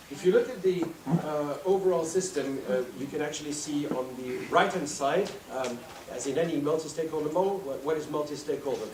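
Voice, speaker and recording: A man with a fairly high voice speaks at a fairly quick pace amid noticeable background noise and audible room echo. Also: ordinary pitch variation. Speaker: conference speaker. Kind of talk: conference presentation. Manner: fast.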